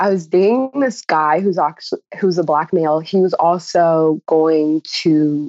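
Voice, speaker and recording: In a dry, close sound with no echo and a quiet background, a woman with a Californian accent speaks at a very even loudness. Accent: General American (Californian). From US West, Los Angeles County (San Fernando Valley). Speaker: pre-med student. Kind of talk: interview.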